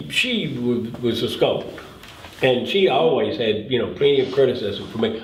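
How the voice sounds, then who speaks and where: This man has an American accent and speaks at a moderate pace. Noticeable background noise runs under his voice. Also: medium pitch for a man, ordinary pitch variation. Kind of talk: casual family storytelling.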